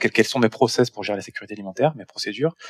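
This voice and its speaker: The man's voice is dry and close with no echo, on a very clean recording with a silent background. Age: 40s. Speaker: startup founder. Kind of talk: interview. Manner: halting, many repetitions.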